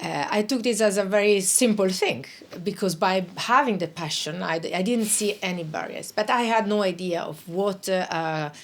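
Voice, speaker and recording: A woman at medium pitch with vocal fry, ordinary pitch variation and a moderate pace, in a very clean recording against a silent background. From northern Italy (South Tyrol, Bolzano). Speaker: international organisation official. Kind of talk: interview. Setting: studio. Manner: hesitant, many fillers.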